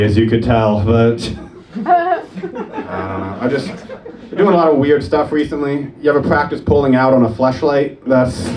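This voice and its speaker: In a room with audible echo and noticeable background noise, a man talks at a moderate pace with ordinary pitch variation. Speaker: stand-up comedian. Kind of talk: stand-up. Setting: stage with audience.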